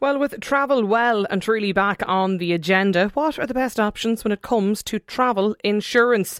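A woman with an Irish accent, fairly high pitch, ordinary pitch variation and a moderate pace, on a very clean recording with a silent background. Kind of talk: radio interview. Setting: studio.

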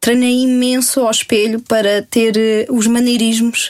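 Over noticeable background noise, a woman with a fairly high pitch talks in a monotone, flat intonation. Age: 20s. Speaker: cosplayer. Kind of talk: casual interview.

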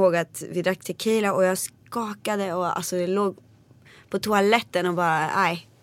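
On a very clean recording with a silent background, a woman with an ordinary speaking voice talks in a medium pitch with fairly even intonation. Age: 20s. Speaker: singer. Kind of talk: interview.

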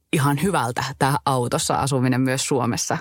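The recording is dry and close, with no echo. A woman talks in a very deep, low pitch. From Finnish Lapland, Kittilä. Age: 30s. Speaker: travel podcast co-host. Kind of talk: casual chat.

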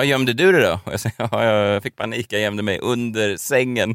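A man at a fairly quick pace, dry, close sound with no echo, very clean recording and silent background. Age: 30s. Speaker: podcast host. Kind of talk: casual chat.

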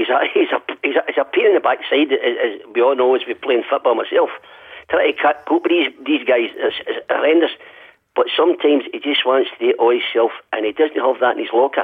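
A man talks at a fairly quick pace with a Glaswegian accent. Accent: Glaswegian Scottish. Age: 60s. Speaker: football fan caller. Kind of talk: radio phone-in call. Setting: phone call.

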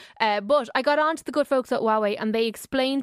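The recording is very clean, dry and close, with no echo and a silent background. A woman with an Irish accent speaks very fast with fairly even intonation. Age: 30s. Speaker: technology correspondent. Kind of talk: radio tech segment. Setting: radio studio.

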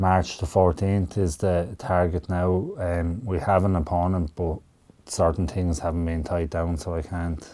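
A man's very deep, low voice in a Wexford Irish accent, at a moderate pace with fairly even intonation, on a very clean recording with a silent background. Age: 30s. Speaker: professional boxer. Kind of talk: radio interview. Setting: radio studio.

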